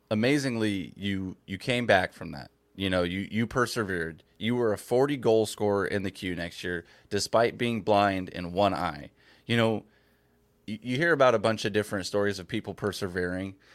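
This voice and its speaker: At a moderate pace, an unremarkable speaking voice moves with ordinary pitch variation. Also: man, fairly low pitch for a man, very clean recording, silent background. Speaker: podcast host. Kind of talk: interview.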